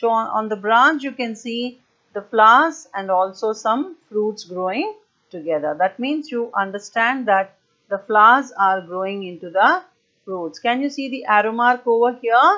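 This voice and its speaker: Over a quiet background, a woman speaks with lively intonation and a bright, sharp tone. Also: fairly slow pace. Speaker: primary school teacher. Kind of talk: online lesson for young children. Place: home room. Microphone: earbuds.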